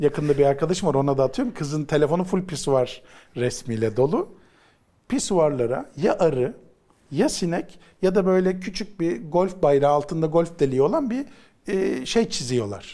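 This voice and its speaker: At a moderate pace, a man with a fairly high pitch speaks in a dark, mellow tone with lively intonation. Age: 40s. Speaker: psychologist. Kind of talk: casual chat. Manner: animated.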